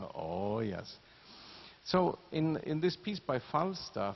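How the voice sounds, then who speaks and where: Speaking very slowly with a non-native accent, a man swings his pitch very widely. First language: not English. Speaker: orchestra conductor. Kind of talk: pre-concert talk to audience.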